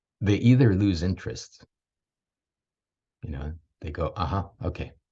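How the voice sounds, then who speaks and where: Somewhat breathy voice at a fairly slow pace against a quiet background. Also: man. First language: Swedish. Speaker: parenting mentor. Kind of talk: talking-head monologue.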